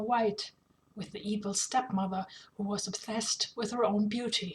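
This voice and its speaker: At a moderate pace, a woman with a non-native accent speaks somewhat breathily at medium pitch in a flat monotone. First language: not English. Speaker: author reading own fanfiction. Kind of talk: reading aloud.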